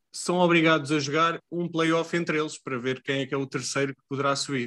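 A man talks at a fairly quick pace in a normal speaking voice, with fairly even intonation over a quiet background. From Portugal, Leiria. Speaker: podcast co-host. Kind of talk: casual chat.

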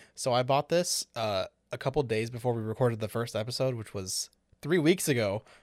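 With an American accent, a man at medium pitch speaks at a fairly quick pace with ordinary pitch variation in an unremarkable speaking voice, on a very clean recording with a silent background. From Chicago. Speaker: podcast co-host. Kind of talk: casual chat. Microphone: new microphone.

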